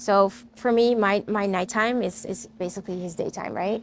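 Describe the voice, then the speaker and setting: This woman speaks at a medium pitch with a Dutch accent. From Netherlands. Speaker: podcast host. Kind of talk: personal storytelling. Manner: animated.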